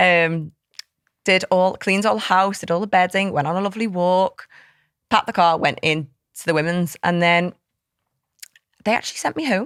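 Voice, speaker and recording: A woman's medium-pitched voice with a Liverpool accent, moderate pace, long and frequent pauses, ordinary pitch variation, and a dry, close sound free of echo. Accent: Liverpool (Scouse) English. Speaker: fitness coach and app co-founder. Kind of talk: casual chat. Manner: loud; animated.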